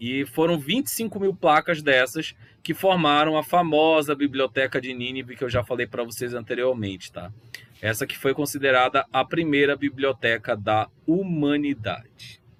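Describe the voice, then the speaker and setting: With a Belém accent, a man speaks at a moderate pace in a fairly high-pitched voice with ordinary pitch variation. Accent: Belém regional Brazilian, hissing s. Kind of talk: lecturing, teacherly.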